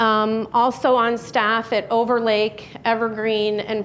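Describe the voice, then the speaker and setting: Here a woman speaks with a Chicago accent. Her pitch is fairly high. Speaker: physician and radiologist. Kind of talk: public talk.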